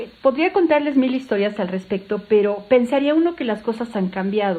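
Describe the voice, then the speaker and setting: Fairly high in pitch, a woman speaks with lively intonation. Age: 60s. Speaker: doctor and sex educator. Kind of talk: podcast interview. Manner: animated.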